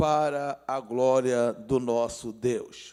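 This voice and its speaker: The very clean recording has a silent background behind a man's voice. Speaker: pastor. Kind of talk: sermon. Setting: church livestream.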